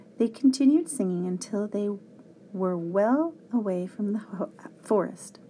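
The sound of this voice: A reading voice, unforced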